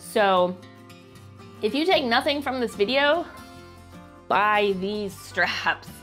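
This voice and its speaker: Over music in the background, a woman with an American accent speaks at medium pitch with lively intonation. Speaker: stay-at-home mom. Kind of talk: casual product review to camera.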